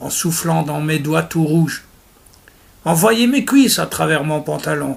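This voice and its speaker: A man puts on a raspy character voice at a fairly high pitch. He keeps to a moderate pace. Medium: read story. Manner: slangy thieves' argot, sardonic.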